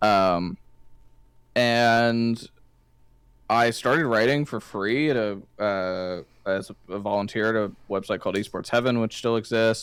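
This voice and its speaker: A man talks at a fairly slow pace, with long, frequent pauses and ordinary pitch variation. The recording is very clean, with a silent background. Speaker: esports journalist. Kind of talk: casual interview chat. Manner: casual, filler-heavy.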